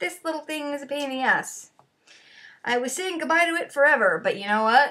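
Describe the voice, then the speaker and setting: A woman's raised, projected voice rings out at a high pitch with a bright, sharp tone. She talks at a fairly quick pace with lively intonation. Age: 40s. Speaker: vlogger. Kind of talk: casual chat.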